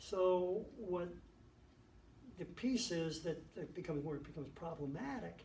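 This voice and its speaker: A man at a moderate pace, with noticeable background noise and audible room echo. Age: 70s. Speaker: judge. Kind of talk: interview talk.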